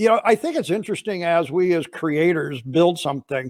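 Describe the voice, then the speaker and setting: Fairly quick and high-pitched, a man talks with ordinary pitch variation in a dry, close sound with no echo, on a very clean recording with a silent background. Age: 60s. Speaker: podcast host, cleaning industry educator. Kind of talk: casual interview chat.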